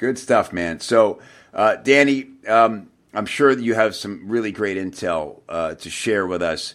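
With a plain, everyday voice, a man talks at a fairly slow pace and fairly low pitch, showing ordinary pitch variation and big swings in loudness. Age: 40s. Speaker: podcast host, copywriter. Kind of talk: interview. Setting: podcast.

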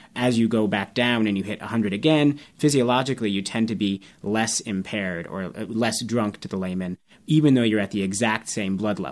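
In a plain, everyday voice with ordinary pitch variation, the speaker moves at a fairly quick pace on a very clean recording with a silent background. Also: man, fairly low pitch for a man. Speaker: toxicology podcast host, assistant professor. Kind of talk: interview on a medical podcast.

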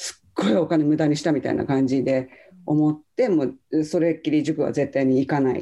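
At a fairly quick pace, a woman speaks in a very deep, low pitch with a dark, mellow tone and fairly even intonation. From Japan, Saitama. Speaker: online English coach, former subtitle translator. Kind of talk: casual interview.

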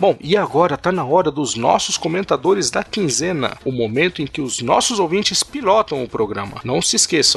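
A man's voice rises and falls across a very wide pitch range while clear background noise carries on. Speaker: podcast host. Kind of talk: casual chat.

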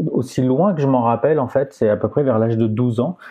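A medium-pitched man speaks fairly quickly with ordinary pitch variation. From southern France, Aix-en-Provence. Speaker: astrophysicist and planetarium director. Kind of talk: interview conversation. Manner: halting, many repetitions.

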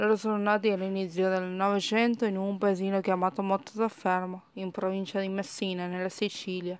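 Fairly quick speech with a Spanish accent, hardly any pauses, and a monotone, flat intonation. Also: woman, medium pitch for a woman. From Argentina, Córdoba. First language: Spanish (speaking Italian). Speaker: language learner. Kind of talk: recorded testimony.

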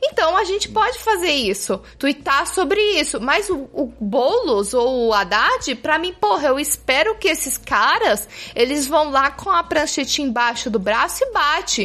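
A woman speaks in a raised, projected voice at a high pitch, with very wide pitch swings. She talks at a fairly slow pace with hardly any pauses, over noticeable background noise. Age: 20s. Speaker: podcast panelist. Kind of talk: casual chat. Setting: studio.

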